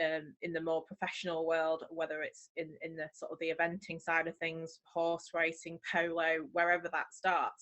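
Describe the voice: A woman's low voice, fairly bright in tone, monotone and flat, at a moderate pace with few pauses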